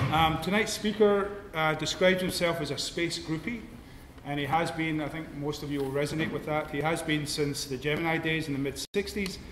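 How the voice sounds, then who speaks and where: A man with a Scottish accent, fairly high-pitched, at a fairly quick pace and with fairly even intonation, amid noticeable background noise and audible room echo. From Scotland. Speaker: lecture series host, astronomer. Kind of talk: introduction at public lecture. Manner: hesitant, casual.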